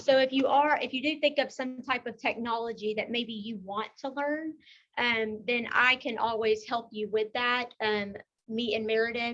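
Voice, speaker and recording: A woman with a Texan accent speaks at a moderate pace and a fairly high pitch, her tone bright and sharp against a quiet background. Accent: Texas country. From Texas, Beaumont. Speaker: technology consultant and class presenter. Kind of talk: presentation.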